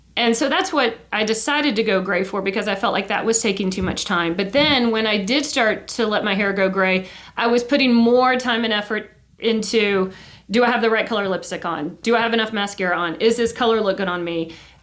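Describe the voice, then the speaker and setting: In a room with audible echo, a woman speaks at a fairly quick pace in a fairly high pitch with ordinary pitch variation. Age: 50s. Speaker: podcast co-host, schoolteacher. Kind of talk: casual chat.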